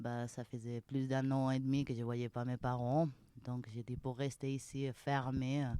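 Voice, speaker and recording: Speaking at a fairly slow pace, a woman has a very deep, low pitch, a dark, mellow tone and monotone, flat intonation. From Spain, Malaga. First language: Spanish (speaking French). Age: young. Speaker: mountain restaurant manager. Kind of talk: interview. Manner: halting.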